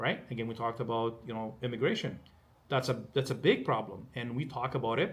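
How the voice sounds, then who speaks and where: Somewhat breathy male speech at a fairly quick clip. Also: medium pitch for a man. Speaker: political candidate and mortgage specialist. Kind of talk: casual interview conversation. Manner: animated, repetitive stammering.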